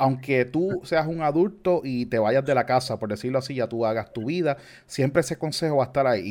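Speaking in a normal speaking voice, a man goes at a fairly quick pace with ordinary pitch variation. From Puerto Rico. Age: 30s. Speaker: church member and youth podcast host. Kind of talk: casual chat about faith.

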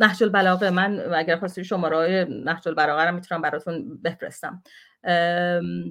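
A woman speaks at a fairly low pitch and a moderate pace. Her tone is animated. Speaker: activist. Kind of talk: heated debate. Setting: video call.

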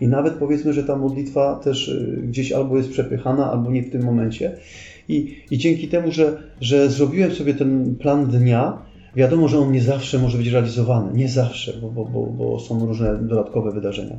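At a fairly quick pace, a man talks at medium pitch, somewhat breathy and with fairly even intonation, amid audible room echo. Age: 40s. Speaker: retired police officer, pilgrim. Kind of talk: casual interview.

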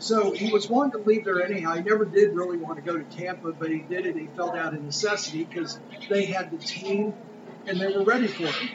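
A man at a high pitch, talking very fast with ordinary pitch variation over noticeable background noise. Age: 20s. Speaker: podcast co-host. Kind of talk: casual chat. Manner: animated.

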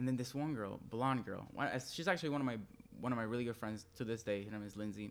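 A man speaks with a Spanish accent. His pace is very fast. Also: medium pitch for a man, ordinary pitch variation. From Venezuela, Maracaibo. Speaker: fashion designer and fast food worker. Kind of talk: casual chat.

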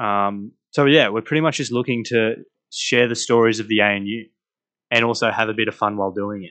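With an Australian accent, a man speaks at medium pitch in a bright, sharp tone. His fairly quick delivery keeps a fairly even intonation over a quiet background. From Australia, rural New South Wales. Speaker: university student podcast co-host. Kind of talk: casual chat.

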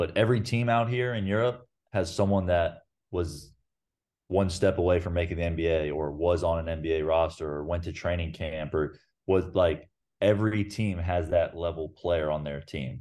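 A man speaks with an American accent in a very deep, low pitch. The background is quiet. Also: ordinary pitch variation, moderate pace. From US South. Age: 20s. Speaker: professional basketball player. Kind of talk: interview.

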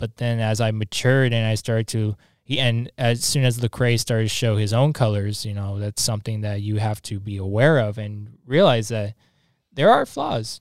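A plain, everyday voice from a man at a medium pitch, fairly even intonation and moderate pace, with a dry, close sound with no echo on a very clean recording against a silent background. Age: 20s. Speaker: podcast host. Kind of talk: casual chat. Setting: studio.

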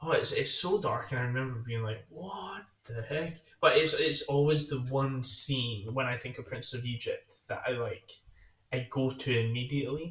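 Man with an ordinary speaking voice, ordinary pitch variation and a moderate pace. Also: medium pitch for a man. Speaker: podcast co-host. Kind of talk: casual chat.

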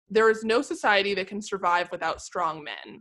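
A woman talks at a moderate pace in an ordinary speaking voice with medium pitch. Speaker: podcast co-host and editor. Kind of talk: casual chat about pop culture.

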